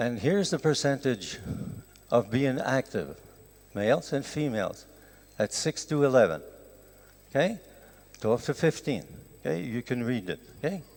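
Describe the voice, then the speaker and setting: With a Quebec accent, a man talks at a moderate pace with lively intonation and vocal fry, leaving long, frequent pauses. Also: medium pitch for a man. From Canada. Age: 70s. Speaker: professor. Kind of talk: lecture.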